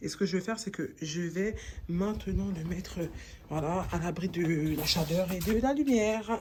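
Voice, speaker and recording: Somewhat breathy and fairly low in pitch, a woman's voice comes through. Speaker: home gardening video maker. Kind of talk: tutorial. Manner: casual, conversational.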